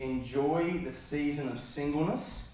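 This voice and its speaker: Through audible room echo and noticeable background noise, a man with an Australian accent speaks at a fairly high pitch. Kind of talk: conference keynote talk. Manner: fast.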